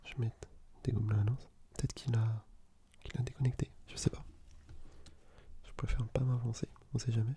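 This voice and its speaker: Soft-spoken and relaxed in tone, a man talks at a medium pitch. His pace is moderate. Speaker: ASMR gaming content creator. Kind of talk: casual soft-spoken gameplay commentary. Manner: soft-spoken, relaxed, conversational.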